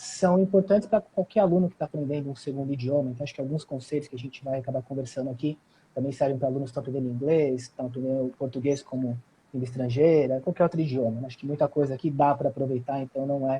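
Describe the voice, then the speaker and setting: Somewhat breathy and very fast, a man speaks at a fairly high pitch with ordinary pitch variation. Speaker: language school coordinator. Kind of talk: live stream interview.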